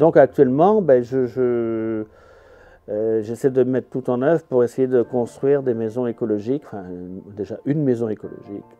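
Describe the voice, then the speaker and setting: Pitched at a medium level, a man's voice moves along at a moderate pace. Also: ordinary pitch variation. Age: 60s. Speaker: carpenter and eco-house builder. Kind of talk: interview. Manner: hesitant, many fillers.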